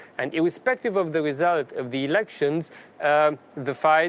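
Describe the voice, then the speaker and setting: With a Romanian accent, the speaker talks at a moderate pace and uses ordinary pitch variation. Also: man. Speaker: politician. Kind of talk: formal speech at a panel debate. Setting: parliament event.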